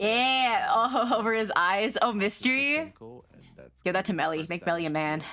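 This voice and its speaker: This woman is loud and animated, with a bright, sharp tone and a fairly high pitch. Her intonation is lively. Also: moderate pace. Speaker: VTuber streamer. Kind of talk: live game stream commentary and chat.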